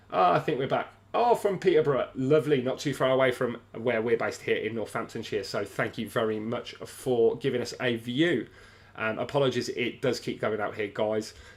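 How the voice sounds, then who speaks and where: On a very clean recording with a silent background, a man with a British accent speaks fairly quickly at medium pitch with ordinary pitch variation. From England. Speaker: sports livestream host. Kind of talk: livestream fight companion chat. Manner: hesitant, many fillers.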